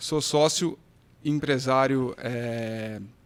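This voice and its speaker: A very slow man at a medium pitch with fairly even intonation. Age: 30s. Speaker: business owner. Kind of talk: casual podcast interview.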